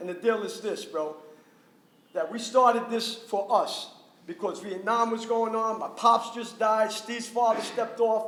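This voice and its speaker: Speaking in a New York accent, a man talks at a moderate pace and high pitch, with audible room echo and noticeable background noise. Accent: New York City. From New York City, Washington Heights. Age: 60s. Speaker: graffiti artist. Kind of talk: panel discussion. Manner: loud; animated. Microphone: speaking without a mic.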